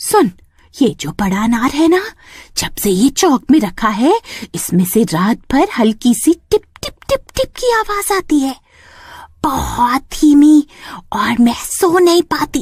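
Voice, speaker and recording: In a cartoonish character voice, the speaker uses a high pitch with very wide pitch swings at a moderate pace. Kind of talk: comic horror cartoon. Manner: bossy, scolding.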